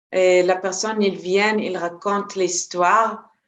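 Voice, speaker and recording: A woman speaks with a Hebrew accent. Her intonation is fairly even and her pace very slow. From Israel. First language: Hebrew (speaking French). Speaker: energy healer and trainer. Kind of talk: interview. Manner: halting, many hesitations.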